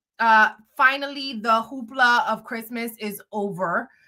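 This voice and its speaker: In a New York accent, a woman speaks fairly slowly in an animated, bright, sharp tone at a fairly high pitch, in a very clean recording with a silent background. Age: 30s. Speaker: blogger and live streamer. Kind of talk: casual live stream chat.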